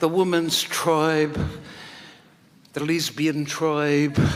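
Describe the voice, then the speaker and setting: Audible room echo surrounds a woman who talks very slowly. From New Zealand, East Coast (Wairoa). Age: 70s. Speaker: singer. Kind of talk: memorial speech. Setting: stage with audience.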